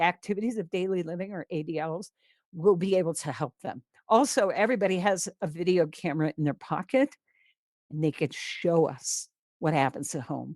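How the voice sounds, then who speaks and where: A woman speaks at a moderate pace and medium pitch in a normal speaking voice. The sound is dry and close with no echo, on a very clean recording with a silent background. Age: 60s. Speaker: veterinarian, pain management lecturer. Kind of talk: conference lecture.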